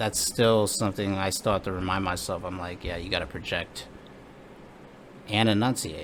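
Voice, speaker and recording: Pitched fairly low, a man talks at a moderate pace with ordinary pitch variation. He takes long, frequent pauses. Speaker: comedian. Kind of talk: casual chat. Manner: soft-spoken.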